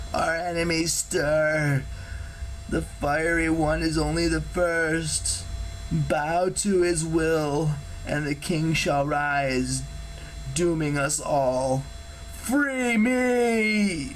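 A man's put-on character voice, fairly high in pitch and very slow, over clear background noise. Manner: ominous, commanding.

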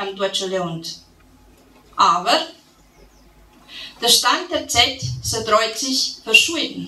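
A woman with a Transylvanian accent at a very slow pace, with audible room echo. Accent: Transylvanian Saxon dialect. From Transylvania, Romania. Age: 40s. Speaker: poet, storyteller. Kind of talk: dialect poetry reading. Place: hall. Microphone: podium.

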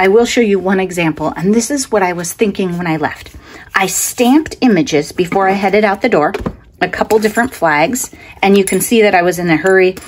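At a fairly quick pace, a woman talks with ordinary pitch variation. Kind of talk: tutorial. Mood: relaxed, chatty.

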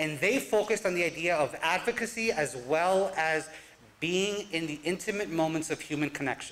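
Here a man talks in an American accent at a high pitch. His voice shows ordinary pitch variation. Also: moderate pace. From New Jersey, US (Newark); New Jersey. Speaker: college advisor and professor; professor. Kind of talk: live talk presentation. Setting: stage with audience. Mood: reflective, earnest. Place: stage.

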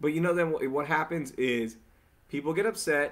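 The tempo is moderate. The voice belongs to a man. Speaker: podcast host. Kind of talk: casual podcast conversation. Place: home room. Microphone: studio mic.

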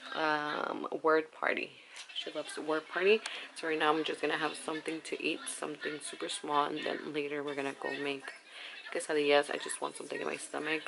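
Noticeable background noise runs under this clip. A woman talks at a fairly quick pace. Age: 20s. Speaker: vlogger, young mother. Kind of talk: casual talk to camera. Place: home room. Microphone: phone near.

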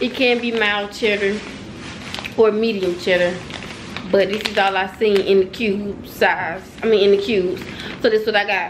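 A woman's monotone, flat delivery at a moderate pace, with long, frequent pauses and noticeable background noise. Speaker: vlogger. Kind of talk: casual vlog chat. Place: home room. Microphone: phone near.

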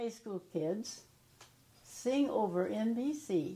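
A woman's medium-pitched, dark, mellow voice with a Midwestern American accent, at a very slow pace. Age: 80s+. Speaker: retired high school alumna. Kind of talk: interview answer. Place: home room. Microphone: lapel.

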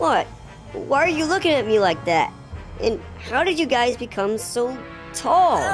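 A put-on character voice speaks at a fairly high pitch and a moderate pace. Clear music plays in the background. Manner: angry, flustered.

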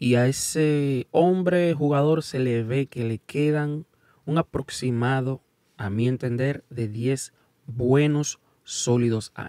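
A man talks at a very slow pace, with a medium pitch and ordinary pitch variation. His tone is dark and mellow, and the sound is dry with no echo over a quiet background. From United States, Dominican parents. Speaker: YouTube sports commentator. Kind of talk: casual video commentary. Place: studio. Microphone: studio mic.

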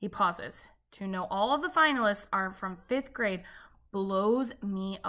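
Ordinary pitch variation within an unforced reading voice

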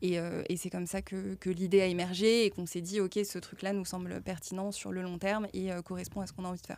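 The sound is dry with no echo as a woman speaks at a very fast pace with hardly any pauses, her intonation monotone and flat. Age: 30s. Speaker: startup co-founder; guest. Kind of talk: casual interview. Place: studio. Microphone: studio mic.

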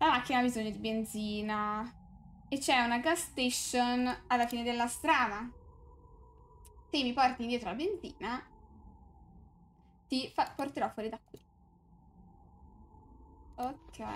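Over light background noise, a woman with a high pitch and ordinary pitch variation speaks with long, frequent pauses and big swings in loudness. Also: fairly slow pace. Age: 20s. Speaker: streamer. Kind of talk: gameplay commentary. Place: home room.

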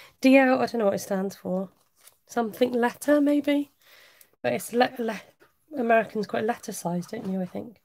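A woman speaks at a moderate pace with a slight West Country accent and a fairly high pitch. Her pitch variation is ordinary, and she takes long, frequent pauses. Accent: slight Wiltshire twang on some words. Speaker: craft demonstrator. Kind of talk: live craft tutorial. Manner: casual, chatty.

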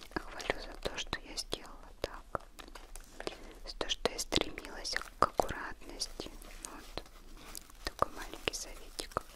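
Whispering, soft-spoken delivery in a gentle tone, with long, frequent pauses. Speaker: unboxing vlogger. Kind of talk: casual vlog chat. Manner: gentle soft ASMR whisper. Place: home room.

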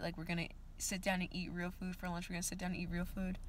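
A woman speaks very fast in a fairly low pitch, with monotone, flat intonation and a somewhat breathy quality. The sound is dry with no echo, and there is light background noise. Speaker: vlogger. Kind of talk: casual vlog chat. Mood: annoyed, venting. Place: car. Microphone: phone near.

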